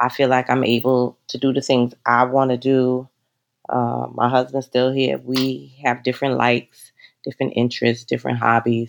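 A woman's very deep, low voice in a New York accent, monotone and flat in intonation, at a moderate pace. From New York City (the Bronx). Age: 50s. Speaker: travel business owner. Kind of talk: interview.

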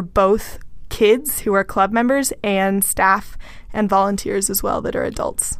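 A woman with a normal speaking voice and an American accent, medium in pitch, at a fairly slow pace with fairly even intonation. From Texas. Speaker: podcast co-host, agriculture worker. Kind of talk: casual chat.

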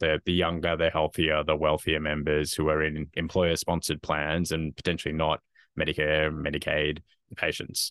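This man has a very deep, low pitch and an Australian accent. His intonation is monotone and flat. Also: moderate pace. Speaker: health tech company founder and executive. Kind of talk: interview.

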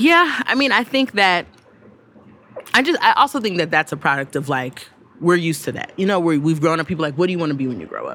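Her fairly low voice swings very widely in pitch as the woman talks at a very fast pace. Background noise is noticeable. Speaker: writer and media host. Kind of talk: casual chat.

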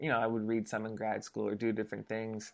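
This is a man. He speaks with a Californian accent. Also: quiet background. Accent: Californian American English. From US West Coast, Los Angeles. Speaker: pastor. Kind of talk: casual interview conversation. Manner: casual, uses filler like and dude.

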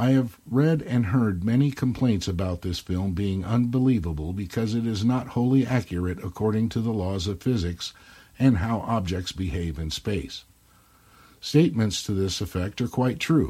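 A man speaks with a fairly low pitch. His tone is dark and mellow, and somewhat breathy. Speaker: listener caller. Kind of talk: recorded voicemail review. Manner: playful, punning.

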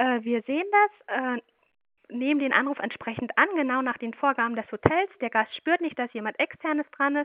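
The woman's high voice carries lively intonation as she talks at a moderate pace. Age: 30s. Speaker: project manager at a hotel outsourcing service. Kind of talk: interview.

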